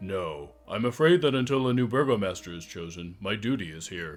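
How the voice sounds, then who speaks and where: A man uses a put-on character voice, fairly low in pitch and at a fairly quick pace. His intonation is lively, with big swings in loudness. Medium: actual play. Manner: earnest, formal.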